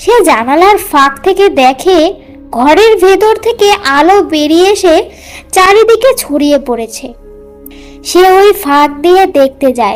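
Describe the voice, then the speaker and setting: An extremely high-pitched cartoonish character voice speaks fairly slowly. Faint music plays in the background. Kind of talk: horror narration.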